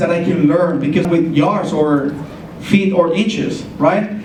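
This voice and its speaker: A man talks at a fairly slow pace with a Spanish accent. The room echo is audible and the background noise is noticeable. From Colombia. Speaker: ESL teacher. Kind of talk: presentation.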